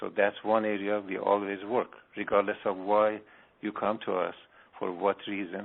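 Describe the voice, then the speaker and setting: With an Iranian accent, a man talks at a moderate pace. His pitch is fairly low. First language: Farsi. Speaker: spiritual healer. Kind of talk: radio interview.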